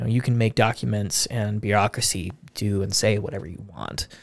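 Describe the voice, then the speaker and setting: On a very clean recording with a silent background, a man with an American accent speaks at a moderate pace, his fairly low pitch showing ordinary variation and vocal fry. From US, Spokane, Washington. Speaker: podcast host. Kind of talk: casual chat.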